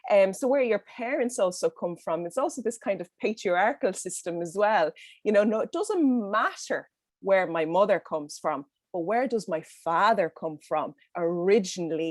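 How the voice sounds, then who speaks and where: Recorded dry and close with no echo, a woman with a Dublin accent talks at a moderate pace with lively intonation. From Ireland, Dublin. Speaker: panelist. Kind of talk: roundtable discussion. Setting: video call. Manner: halting, many fillers.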